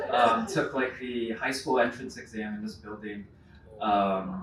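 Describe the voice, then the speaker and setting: Speech in a Californian accent with ordinary pitch variation, audible room echo and noticeable background noise. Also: man. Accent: Californian American English. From Santa Monica, California. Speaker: brand panelist. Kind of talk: panel discussion.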